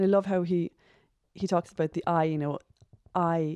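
A woman with a Cork accent, a dark, mellow tone, fairly low pitch, fairly even intonation and a moderate pace. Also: dry, close sound with no echo. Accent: Cork Irish. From Ireland, Cork. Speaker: secondary school teacher, stay-at-home mom. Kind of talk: casual chat.

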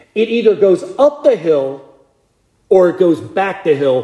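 This man's voice has a dark, mellow tone. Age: 50s. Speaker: deacon preaching. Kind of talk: sermon. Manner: conversational.

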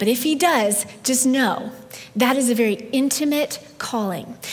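Her voice high and her intonation lively, a woman speaks over noticeable background noise. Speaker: pastor. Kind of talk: sermon. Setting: church. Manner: gentle.

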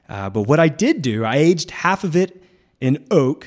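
A man speaks at a moderate pace. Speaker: winemaker and winery owner. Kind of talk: casual radio interview. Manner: animated.

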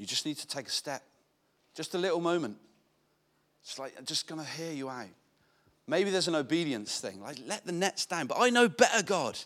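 A man talks fairly quickly at a fairly high pitch, with vocal fry and very wide pitch swings. His loudness swings widely, and long, frequent pauses break up his speech. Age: 40s. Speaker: pastor. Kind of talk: sermon.

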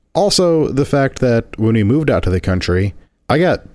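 With an American accent, a man speaks at a moderate pace with very wide pitch swings. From rural Indiana. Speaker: podcast co-host, video producer. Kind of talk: casual chat.

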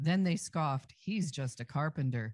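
Somewhat breathy and with lively intonation, a woman speaks fairly slowly on a very clean recording with a silent background. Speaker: scripture reader. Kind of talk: reading aloud.

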